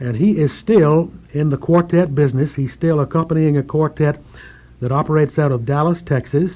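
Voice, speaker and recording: Speaking at a fairly quick pace with an eastern North Carolina accent, the man has a fairly high pitch, a dark, mellow tone and fairly even intonation. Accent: eastern North Carolina Southern. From eastern North Carolina, Currituck County. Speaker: retiring radio program director. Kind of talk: call-in radio interview.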